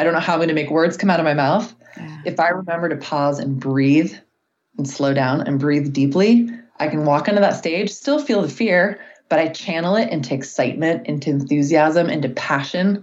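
Speaking at a fairly quick pace, a woman with a very deep, low voice shows ordinary pitch variation. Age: 40s. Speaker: life coach. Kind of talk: interview. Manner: peaceful.

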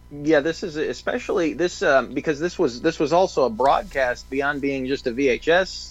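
With a plain, everyday voice, the man talks at a moderate pace and a fairly high pitch with ordinary pitch variation. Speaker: video producer, co-host. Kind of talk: casual chat, commentary on footage.

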